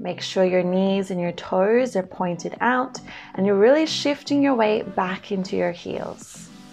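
Faint music sits in the background as the speaker goes at a fairly slow pace with ordinary pitch variation. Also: woman. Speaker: fitness instructor. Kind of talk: workout instruction cues.

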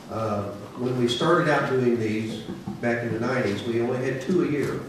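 A man at a moderate pace, with strong room echo and noticeable background noise. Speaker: federal judge. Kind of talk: ceremonial speech. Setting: stage with audience. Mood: warm, slightly emotional.

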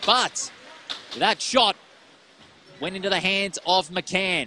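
A man with an Australian accent speaks in a raised, projected voice and an excited tone. The sound is dry with no echo, and there is light background noise. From Western Australia. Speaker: ice hockey commentator. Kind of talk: live play-by-play ice hockey commentary, rapid puck-tracking calls. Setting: commentary box at ice rink, live stream. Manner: quick clipped name-calling of players as the puck moves; excited rhetorical questions mid-play, self-correcting in the rush. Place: stadium.

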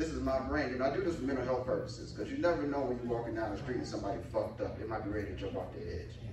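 Very fast speech from a man comes through audible room echo amid noticeable background noise. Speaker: stand-up comedian. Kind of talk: stand-up comedy routine. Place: stage.

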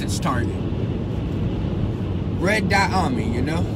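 Loud background noise fills the dry recording, which has no echo. A man speaks at a fairly slow pace. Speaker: spiritual coach. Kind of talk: casual vlog chat. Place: car. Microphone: phone near.

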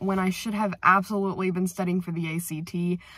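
A woman speaks in a bright, sharp tone. The background is quiet and the sound is dry with no echo. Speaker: high school senior vlogger. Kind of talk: casual vlog chat. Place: car. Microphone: phone near.

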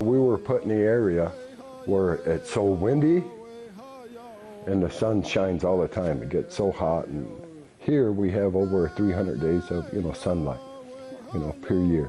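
Long, frequent pauses over light background noise. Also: man, very deep, low pitch for a man, fairly slow pace. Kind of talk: interview answer. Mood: calm, hopeful. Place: workshop. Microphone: lapel.

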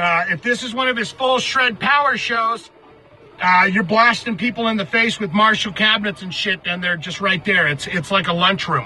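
A man's raised, projected voice at a moderate pace with ordinary pitch variation, dry with no echo, over light background noise. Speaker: music commentary vlogger. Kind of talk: casual vlog commentary. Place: car.

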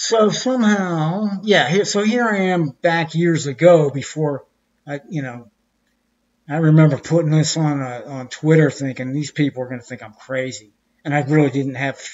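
The intonation is lively and the loudness swings widely. It moves at a moderate pace in an American accent. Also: man, fairly high pitch for a man. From Pittsburgh, USA. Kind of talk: casual presentation practice. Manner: hesitant, many fillers.

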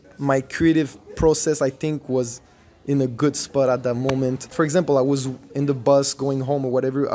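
With a Quebec accent, a man speaks fairly quickly at a medium pitch in a monotone, flat intonation over light background noise. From Montreal, Quebec. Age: 20s. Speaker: breakdancer; interviewee. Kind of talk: interview.

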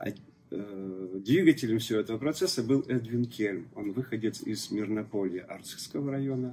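Over light background noise, a man speaks fairly slowly in a dark, mellow tone with ordinary pitch variation. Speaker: church deacon and local author. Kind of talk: interview answers. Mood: calm, storytelling. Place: cafe.

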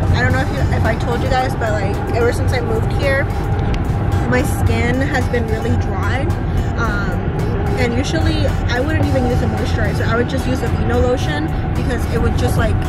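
A woman talking at a fairly quick clip, dry sound with no echo, loud music playing behind her. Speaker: vlogger. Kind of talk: casual vlog chat. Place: car. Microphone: phone near.

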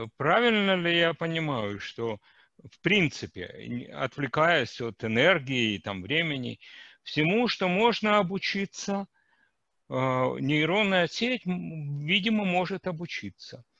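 A man talks at a very slow pace in a fairly high pitch with a bright, sharp tone, very wide pitch swings and big swings in loudness. The sound is dry with no echo over a quiet background. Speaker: seminar audience member; audience member. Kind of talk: Q&A discussion. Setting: video call. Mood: curious, thoughtful. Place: home room. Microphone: headset.

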